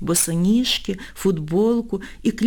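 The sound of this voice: The speaker reads in an unforced reading voice, and the pitch varies in an ordinary way.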